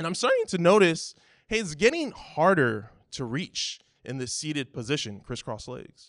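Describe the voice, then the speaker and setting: Against a quiet background, a man with an American accent talks at a moderate pace in a fairly high pitch, using very wide pitch swings, big swings in loudness and vocal fry. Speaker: church elder, guest preacher. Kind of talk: sermon.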